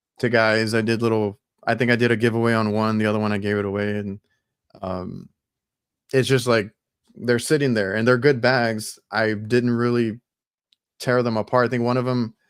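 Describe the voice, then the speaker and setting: With long, frequent pauses, a man talks at a moderate pace and medium pitch in monotone, flat intonation. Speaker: HVAC technician and podcast host. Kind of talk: casual chat.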